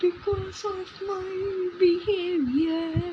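A put-on character voice at an extremely high pitch, with clear background noise. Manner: put-on, joking.

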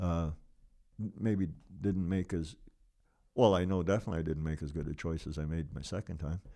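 Long, frequent pauses break up a dark, mellow tone delivered with a Canadian Prairie accent. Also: man, very deep, low pitch for a man, fairly even intonation, fairly quick pace. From Lloydminster area, western Canada. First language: Ukrainian. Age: 70s. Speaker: local businessman. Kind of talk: interview, life story.

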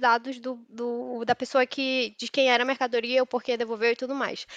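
A woman's high-pitched voice comes at a moderate pace, dry and close with no echo, over a quiet background. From Manaus, northern Brazil. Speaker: software developer. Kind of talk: casual interview.

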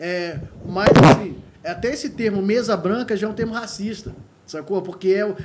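A man's high-pitched voice at a moderate pace, with ordinary pitch variation and long, frequent pauses, over noticeable background noise. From Sul Fluminense, Rio de Janeiro state, Brazil. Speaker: musician and music teacher. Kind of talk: casual chat.

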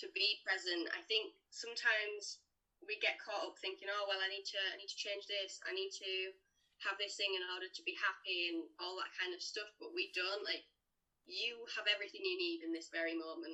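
A woman with a normal speaking voice keeps a medium pitch and fairly even intonation, talking at a moderate pace. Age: young. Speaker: life and mindset coach. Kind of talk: casual interview chat.

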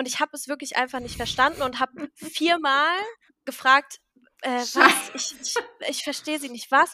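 A woman's raised, projected voice, high in pitch and bright and sharp in tone, at a moderate pace with fairly even intonation, big swings in loudness, long, frequent pauses and a dry, close sound with no echo. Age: 20s. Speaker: podcast co-host. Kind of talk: casual chat.

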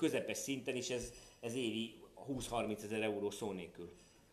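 There is audible room echo as a man speaks. His pitch is medium, with ordinary pitch variation. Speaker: parent of a golfer, golf commentator. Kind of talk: interview. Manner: animated, repetitive false starts.

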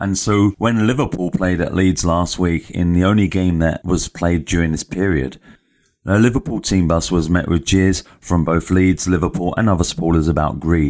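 Speaking with an English accent at a moderate pace, a man has a very deep, low pitch on a very clean recording with a silent background. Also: ordinary pitch variation, very even loudness. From England. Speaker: sports podcast host. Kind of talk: solo commentary monologue.

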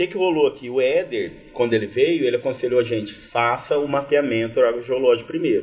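Music plays behind a man speaking at a fairly quick pace and medium pitch. He has ordinary pitch variation and hardly any pauses. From interior of São Paulo state, Brazil (Batatais). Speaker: agronomy professor. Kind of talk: casual chat. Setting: live recording with audience at university event.

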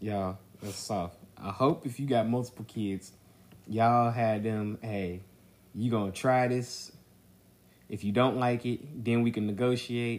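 The man's pitch is medium and his intonation fairly even. He speaks at a fairly slow pace with long, frequent pauses. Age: 30s. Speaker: podcast co-host, father of four. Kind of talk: casual chat.

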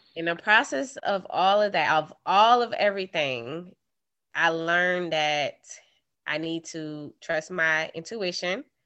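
With an American accent and an unremarkable speaking voice, a woman speaks at a fairly slow pace, her fairly low pitch carried by lively intonation. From New York. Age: 30s. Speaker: guest sharing dating story. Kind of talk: casual storytelling chat.

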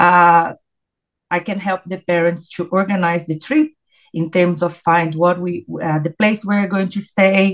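A woman in a Portuguese accent, medium in pitch, with fairly even intonation. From Brazil. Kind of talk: interview. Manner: halting.

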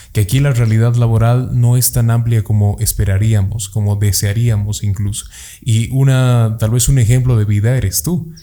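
A man with a dark, mellow, somewhat breathy tone speaks at medium pitch and a moderate pace, with fairly even intonation and very even loudness. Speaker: podcast host. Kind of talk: casual interview. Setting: studio.

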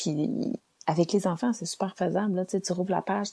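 In a Quebec accent, a woman speaks at a fairly low pitch with ordinary pitch variation. Her voice is somewhat breathy, and the background is quiet. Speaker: podcaster. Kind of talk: casual monologue. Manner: animated.

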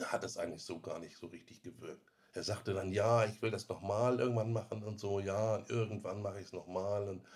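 A man's somewhat breathy voice at a fairly quick pace, monotone and flat, with hardly any pauses. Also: fairly low pitch for a man. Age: 50s. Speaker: IT specialist, former smoker. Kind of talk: interview.

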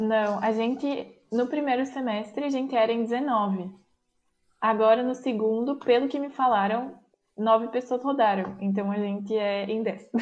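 A woman speaks at a fairly slow pace in an ordinary speaking voice. Her pitch is fairly high and her intonation fairly even. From Bento Gonçalves, Rio Grande do Sul, Brazil. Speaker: university student abroad. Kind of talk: casual chat.

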